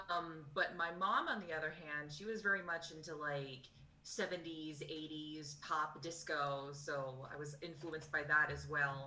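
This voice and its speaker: In an American accent, the speaker talks fairly slowly with hardly any pauses, a bright, sharp tone and fairly even intonation, with audible room echo. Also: woman, very deep, low pitch for a woman. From Texas, Dallas area. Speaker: singer in a cover band. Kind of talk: casual interview.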